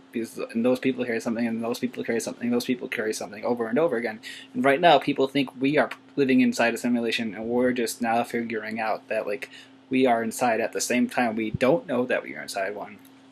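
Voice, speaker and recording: Speech at a very fast pace keeps a fairly even intonation over noticeable background noise. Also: man, medium pitch for a man. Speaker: YouTuber. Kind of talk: casual vlog monologue. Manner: soft-spoken; halting, many fillers.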